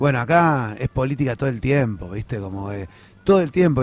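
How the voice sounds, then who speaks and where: A man speaks at a very fast pace, his pitch swinging very widely. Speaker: political activist. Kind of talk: interview.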